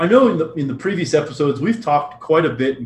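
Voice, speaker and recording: The speaker has an American accent and fairly even intonation. The pace is very fast. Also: man. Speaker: podcast co-host. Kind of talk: casual business chat.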